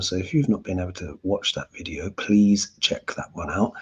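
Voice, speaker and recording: Speaking quietly at a fairly slow pace, a man's voice comes out somewhat breathy. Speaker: astrologer and tarot reader. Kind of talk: casual live Q&A. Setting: at home, to camera. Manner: quiet, held-back speaking.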